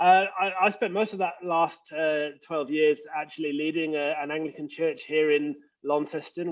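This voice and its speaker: A man with an English accent speaks at a moderate pace, his intonation fairly even. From England. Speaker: leadership coach and former pastor. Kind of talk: casual interview. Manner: hesitant, many fillers.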